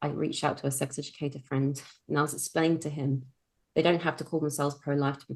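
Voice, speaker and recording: A woman's very deep, low voice with a British accent, flat and monotone, at a very fast pace. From UK. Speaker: sex coach. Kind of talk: podcast interview.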